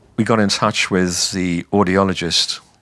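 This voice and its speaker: With a southern English accent, a man speaks at a fairly slow pace in a very deep, low pitch. His tone is bright and sharp, and his pitch varies in an ordinary way. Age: 70s. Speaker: retiree with hearing loss. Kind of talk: testimony. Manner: halting.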